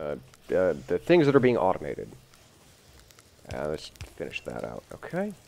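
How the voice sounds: Gravelly and extremely low-pitched, a man's voice carries vocal fry, a slightly mellow tone, very wide pitch swings and a moderate pace.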